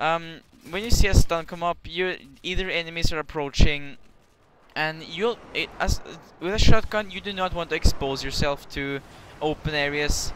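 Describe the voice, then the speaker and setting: With a Norwegian accent, the speaker goes at a moderate pace with ordinary pitch variation and big swings in loudness, against noticeable background noise. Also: man, high pitch for a man. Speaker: gaming commentator. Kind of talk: gameplay commentary. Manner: halting, many restarts; casual.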